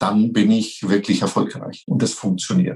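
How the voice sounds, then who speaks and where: A man's voice with lively intonation. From Franconia, near Nuremberg. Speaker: franchise company executive. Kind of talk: interview.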